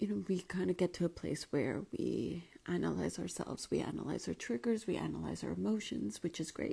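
Speaking quietly at a fairly quick pace, a woman barely stops, with hardly any pauses. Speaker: life coach. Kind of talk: live stream talk. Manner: casual. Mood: calm, gentle, reflective. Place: home room. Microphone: quiet, moved mic closer; earbuds.

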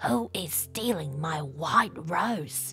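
A put-on character voice at a middle pitch comes through over clear background noise. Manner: growling.

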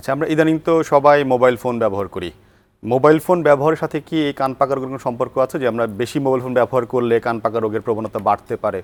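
A man with a plain, everyday voice at a medium pitch, ordinary pitch variation, dry, close sound with no echo, and a very clean recording with a silent background. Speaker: doctor and TV health show host. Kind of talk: TV health interview. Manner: formal.

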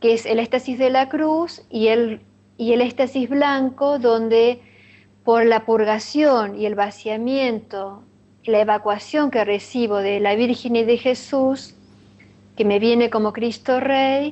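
Speaking at a very slow pace, a woman keeps her intonation fairly even and her loudness very even. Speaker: interviewee. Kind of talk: interview answer. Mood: earnest, devotional. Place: home room. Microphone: webcam.

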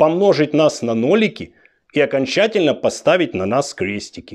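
Against a quiet background, a man talks at a fairly slow pace. His pitch swings very widely. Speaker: political commentator. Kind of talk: satirical political monologue. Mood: sarcastic, mocking. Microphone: lapel.

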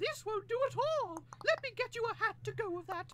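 A put-on, female-sounding character voice in a British accent at an extremely high pitch, with a fairly quick pace and clear background noise. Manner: fussy, snooty.

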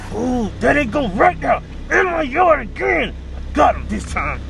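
Putting on a character voice, he talks at a moderate pace while loud noise fills the background. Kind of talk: scripted skit dialogue. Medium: short film. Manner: indignant, complaining. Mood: scheming, gleeful.

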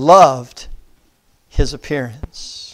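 The setting is quiet. A man is the one talking. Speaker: preacher. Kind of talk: sermon. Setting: church. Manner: earnest, pastoral, exhorting the congregation; measured, reverent when reading scripture aloud. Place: church. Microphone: lapel.

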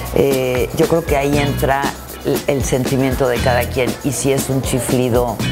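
Clear music plays in the background as a woman talks at a fairly slow pace. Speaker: broadcaster and theatre performer. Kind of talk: interview answer. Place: hall.

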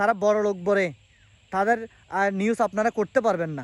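A man is heard with a dry, close sound with no echo. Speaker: vlogger. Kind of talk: opinion monologue. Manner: formal.

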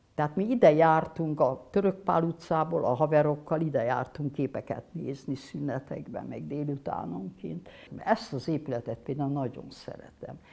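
A woman's very deep, low voice with a dark, mellow tone and vocal fry, lively intonation, big swings in loudness and hardly any pauses. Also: moderate pace. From Hungary. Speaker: painter. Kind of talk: interview. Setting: studio workshop. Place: studio. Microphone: lapel.

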